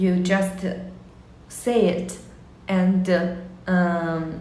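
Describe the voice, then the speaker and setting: There is audible room echo and noticeable background noise as a woman talks with a Chinese accent. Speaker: language teacher. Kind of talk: casual monologue. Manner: halting, many fillers.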